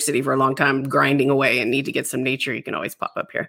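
A woman's very deep, low voice comes through a very clean recording with a silent background. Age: 40s. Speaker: podcast host. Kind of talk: scripted intro and outro; interview.

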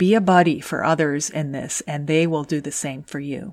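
A woman's fairly low voice with ordinary pitch variation, in a very clean recording with a silent background. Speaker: podcast host and engineer career coach. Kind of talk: scripted podcast monologue. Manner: soft-spoken.

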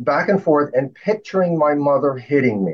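At a moderate pace, a man with a plain, everyday voice talks in a fairly high pitch with ordinary pitch variation. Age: 60s. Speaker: inventor. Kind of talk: casual chat.

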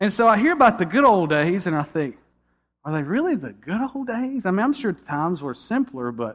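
Fairly quick delivery from a man, full of very wide swings in pitch. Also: quiet background. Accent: Georgia. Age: 30s. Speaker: pastor. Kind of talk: sermon. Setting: church.

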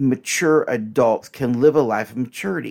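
A man speaks in a very clean recording with a silent background. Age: 60s. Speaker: podcast host and relationship counselor. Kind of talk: solo teaching monologue. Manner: conversational, direct address to listeners.

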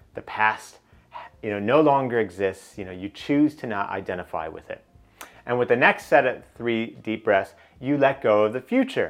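A man talks at a moderate pace with a medium pitch and lively intonation. His loudness swings widely, and music plays in the background. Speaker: business coach and podcast host. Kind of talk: guided meditation. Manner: instructional, paced with pauses.

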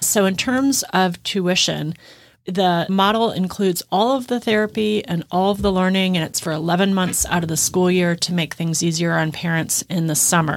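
A woman with an American accent speaks in an unremarkable speaking voice, her pitch fairly low and varying in an ordinary way. She talks at a moderate pace. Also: very clean recording, silent background. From US Midwest. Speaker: school co-founder, educator, nonprofit executive. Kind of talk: interview.

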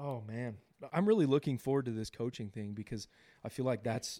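Here is a man with an American accent at a medium pitch. His tone is dark and mellow. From Southern California. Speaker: podcast co-host, business owner. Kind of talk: casual chat.

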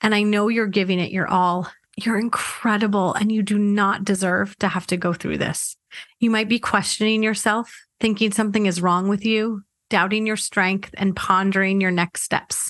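A woman's medium-pitched voice at a moderate pace, flat and monotone, with very even loudness throughout. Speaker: IVF mindset coach and podcast host. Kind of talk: pep talk. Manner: warm, reassuring, earnest; gentle, steady, encouraging.

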